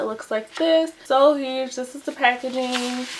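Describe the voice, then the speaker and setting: Amid noticeable background noise, a woman talks at a moderate pace in a high pitch. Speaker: makeup youtuber. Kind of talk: makeup tutorial. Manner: casual and chatty.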